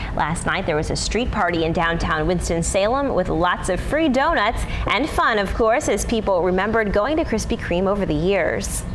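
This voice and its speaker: With noticeable background noise behind her, a woman talks with hardly any pauses. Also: moderate pace. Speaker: news anchor and reporter. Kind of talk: TV news read. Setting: studio.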